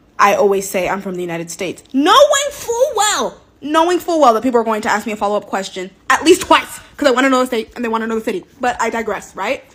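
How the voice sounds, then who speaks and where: Noticeable background noise sits under speech delivered at a very fast pace with hardly any pauses. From US West Coast, Los Angeles. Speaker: social media creator. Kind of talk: casual monologue, comedic rant. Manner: animated.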